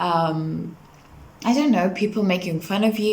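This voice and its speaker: Woman with a non-native accent at a medium pitch, amid audible room echo and noticeable background noise. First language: not English. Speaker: vlogger. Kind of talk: casual talk to camera. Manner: hesitant fillers.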